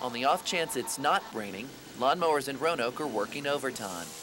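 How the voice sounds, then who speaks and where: With an American accent, a man talks at a medium pitch with very wide pitch swings over noticeable background noise. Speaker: news anchor and reporter intern. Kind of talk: TV news reporter package narration.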